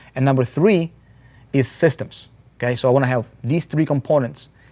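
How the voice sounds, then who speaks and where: The voice has a dark, mellow tone and a non-native accent. Its pitch varies in an ordinary way. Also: man. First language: not English. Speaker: internet marketing coach. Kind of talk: live motivational webinar. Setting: live stream. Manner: animated.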